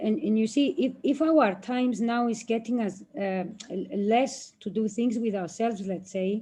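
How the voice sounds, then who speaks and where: Her tone dark and mellow, a woman with a fairly high, somewhat breathy voice speaks at a moderate pace with ordinary pitch variation. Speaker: martial arts and self-defense instructor. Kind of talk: guided relaxation exercise within interview. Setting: livestream video call. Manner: soft, calm.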